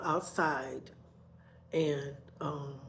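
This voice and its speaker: Audible room echo fills the recording. The speaker is a woman. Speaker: vlogger. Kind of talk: personal storytelling. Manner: loud, voice rises when talking; repetitive, conversational.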